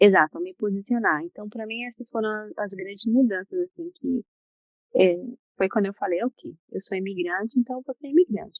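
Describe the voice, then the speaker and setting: This soft-spoken woman has a fairly high pitch and lively intonation. Her loudness swings widely. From Brazil. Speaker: psychologist. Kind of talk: interview. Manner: slow.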